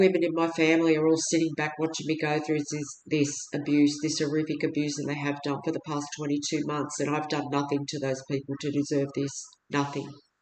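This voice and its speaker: Talking at a fairly quick pace, a woman with an Australian accent has a very deep, low pitch. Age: 60s. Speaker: video blogger appealing for help. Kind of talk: personal testimony monologue. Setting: at home. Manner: halting, with fillers and restarts.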